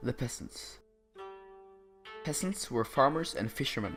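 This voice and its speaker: With a non-native accent, the speech moves at a moderate pace over music in the background. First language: not English. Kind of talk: educational history narration.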